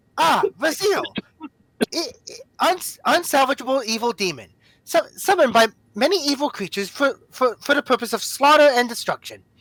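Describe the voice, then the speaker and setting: This is a put-on character voice with a robotic sound. It moves at a moderate pace. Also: woman, high pitch for a woman. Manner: robotic, AI-like.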